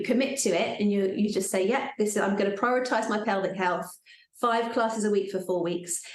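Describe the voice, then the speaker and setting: With audible room echo, a woman at a medium pitch talks at a fairly quick pace with fairly even intonation. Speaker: pelvic floor fitness teacher. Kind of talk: live workshop talk.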